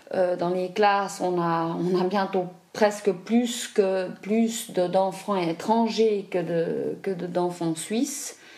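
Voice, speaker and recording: Over noticeable background noise, a woman at medium pitch speaks at a very slow pace with fairly even intonation. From Switzerland, raised partly in Africa. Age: 40s. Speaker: adoptee interviewee. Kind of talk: testimony. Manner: halting.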